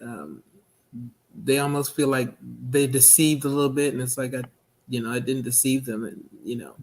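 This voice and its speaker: A man speaks with fairly even intonation and long, frequent pauses. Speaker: minister. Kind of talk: interview.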